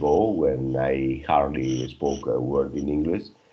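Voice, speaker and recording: Fairly slow speech from a man with ordinary pitch variation and audible room echo. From Spain. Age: 50s. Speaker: English learner. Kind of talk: casual chat.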